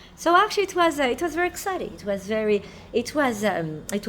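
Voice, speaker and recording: Against noticeable background noise, a woman with a French accent talks at a fairly quick pace with very wide pitch swings. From France. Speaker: restaurant owner and chef. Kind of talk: documentary interview.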